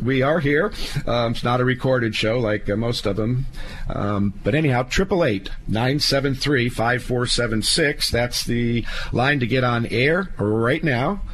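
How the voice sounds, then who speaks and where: Over noticeable background noise, a man speaks very slowly at a medium pitch, with ordinary pitch variation and very even loudness. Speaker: estate planning attorney, radio host. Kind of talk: legal advice radio show. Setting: studio. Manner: folksy, conversational with fillers.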